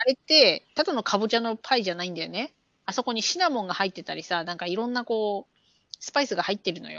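At a very fast pace, a woman with a fairly high pitch speaks in an animated tone, her lively intonation paired with big swings in loudness. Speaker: podcast co-host. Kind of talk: casual chat.

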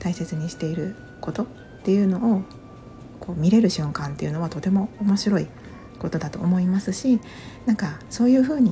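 Whispering and mumbling at a fairly quick pace, the speaker leaves long, frequent pauses over noticeable background noise. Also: woman. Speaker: podcaster. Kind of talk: casual monologue.

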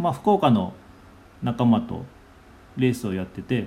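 This man has a dark, mellow tone and a medium pitch, with very wide pitch swings. His voice is somewhat breathy, and he talks at a moderate pace. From Nagasaki, Japan. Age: 40s. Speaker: cafe owner and podcaster. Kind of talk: casual monologue. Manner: halting, many fillers.

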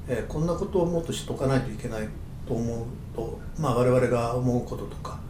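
At a fairly quick pace, a man with a medium pitch and ordinary pitch variation is heard through audible room echo and noticeable background noise. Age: 70s. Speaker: aromatherapist and podcast co-host. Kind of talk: casual chat. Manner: halting, many fillers.

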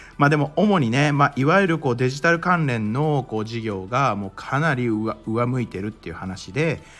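In an ordinary speaking voice, a man talks at a moderate pace and medium pitch, with lively intonation and hardly any pauses. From Japan, Mie Prefecture. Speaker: crypto and NFT news podcaster. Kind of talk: solo news commentary podcast. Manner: casual, conversational with many fillers.

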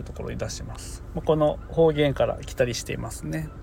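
A man speaks at a moderate pace with a Niigata accent. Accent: Niigata dialect (Gosen). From Niigata, Japan. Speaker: farmer and podcaster. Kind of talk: casual solo podcast talk. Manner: casual, rambling.

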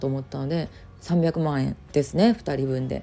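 This woman has a very deep, low voice with a dark, mellow tone. She talks at a fairly quick pace with ordinary pitch variation. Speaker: online business coach and podcaster. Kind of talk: casual solo talk.

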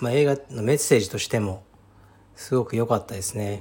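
A man speaks in a somewhat breathy voice. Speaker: Brazilian jiu-jitsu gym founder and podcast host. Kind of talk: casual solo talk.

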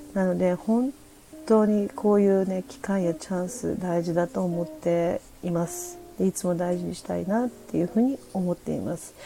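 A woman's loudness swings widely while noticeable noise sits in the background. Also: medium pitch for a woman, ordinary pitch variation, moderate pace. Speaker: podcast host. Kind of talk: casual livestream talk. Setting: livestream from home. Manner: chatty with many fillers.

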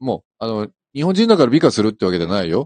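A man speaks with lively intonation. The sound is dry and close with no echo, and the background is quiet. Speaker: fashion company executive. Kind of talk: casual radio chat. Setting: in-house broadcast booth, live stream.

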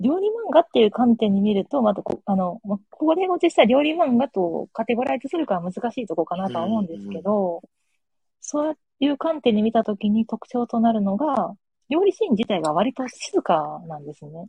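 At a moderate pace, a woman speaks in a fairly high pitch that swings very widely. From Japan, Kagawa. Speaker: guest, parent of two young children. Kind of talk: casual chat. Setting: remote call from home with earbuds.

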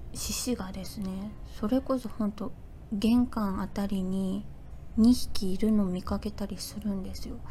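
A woman's normal speaking voice, medium in pitch, with fairly even intonation at a fairly slow pace. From Fukuoka, Japan. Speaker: podcaster. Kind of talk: casual solo talk. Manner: relaxed, gentle.

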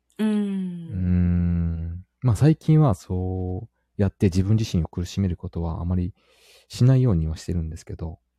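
Heard on a very clean recording with a silent background, the voice has a dark, mellow tone, moves at a moderate pace, and shows ordinary pitch variation. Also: man, very deep, low pitch for a man. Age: 30s. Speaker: married father of a young child. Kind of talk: casual chat.

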